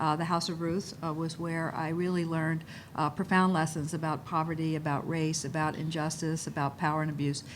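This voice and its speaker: A woman with a very deep, low pitch talks at a fairly quick pace in a monotone, flat intonation. Audible room echo surrounds her voice. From Baltimore, Maryland, US. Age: 60s. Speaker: policy advocate at foundation. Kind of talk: panel introduction.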